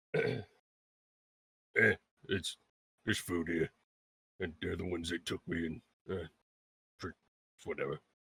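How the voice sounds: In a put-on character voice, a man with a very deep, low pitch speaks at a moderate pace with long, frequent pauses.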